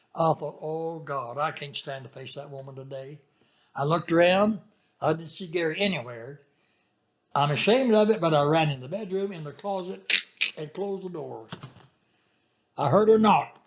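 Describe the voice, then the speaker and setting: With a Southern US accent, a fairly high-pitched man talks at a moderate pace, using lively intonation, big swings in loudness, and long, frequent pauses. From Arkansas. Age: 90s. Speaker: retired pastor. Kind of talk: interview storytelling.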